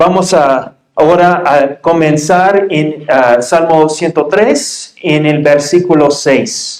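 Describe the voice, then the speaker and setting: Speaking very slowly yet with hardly any pauses, a man uses a fairly high voice. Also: ordinary pitch variation. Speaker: pastor. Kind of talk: sermon. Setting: church.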